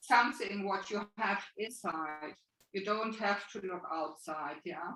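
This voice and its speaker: A woman's bright, sharp tone in a German accent. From Germany. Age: 60s. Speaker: spiritual healer and coach. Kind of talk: interview answer.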